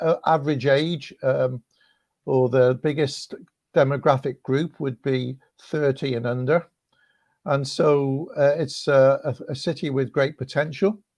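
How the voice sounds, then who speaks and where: In a West Country accent, a man talks at a fairly slow pace with long, frequent pauses. His pitch is fairly high and his intonation fairly even. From West Country, England (Cheltenham). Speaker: rector and evangelist. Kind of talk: online video interview.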